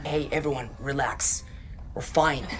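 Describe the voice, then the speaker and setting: A put-on character voice sits at a low-to-middle pitch and moves at a moderate pace. Clear background noise can be heard behind it. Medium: short film.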